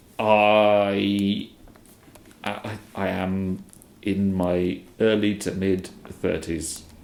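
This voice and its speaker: A man with a fairly low pitch speaks at a very slow pace. His monotone, flat intonation comes with long, frequent pauses. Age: early to mid 30s. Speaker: streamer answering viewer questions. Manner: hesitant, many fillers.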